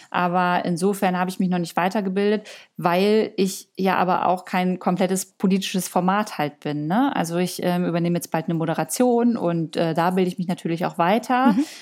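A woman with a plain, everyday voice talks at a fairly quick pace and medium pitch, with ordinary pitch variation and hardly any pauses, on a very clean recording with a silent background. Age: 30s. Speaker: influencer and content creator. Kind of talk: interview.

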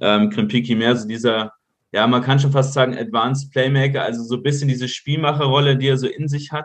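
A man at a medium pitch, fairly quick pace, somewhat breathy, with fairly even intonation. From Munich, Bavaria. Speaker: football data analyst. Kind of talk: podcast interview.

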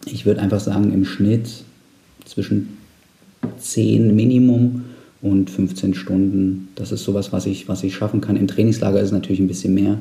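Speaking at a moderate pace with long, frequent pauses, a man uses fairly even intonation and a fairly low pitch. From Saxony-Anhalt, eastern Germany. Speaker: amateur cyclist and team founder. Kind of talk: casual interview. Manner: hesitant with fillers.

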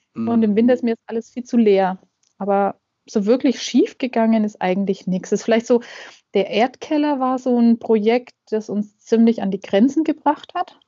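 This woman has a plain, everyday voice, pitched fairly high, with ordinary pitch variation at a moderate pace. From Middle Franconia, Germany (near Nuremberg). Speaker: gardener and self-sufficiency blogger. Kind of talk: casual interview.

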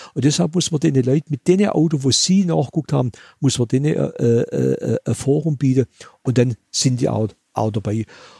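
Here a man talks at medium pitch with a dark, mellow, somewhat breathy tone and lively intonation, at a fairly quick pace. The sound is dry and close, with no echo. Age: 70s. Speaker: museum owner and classic car collector. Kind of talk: interview.

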